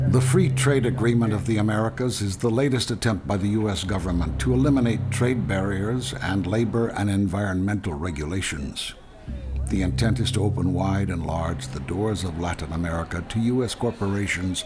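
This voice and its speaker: Background music is audible. The speaker's pitch moves with lively intonation. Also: man, fairly low pitch for a man, moderate pace. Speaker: documentary narrator. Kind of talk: documentary narration.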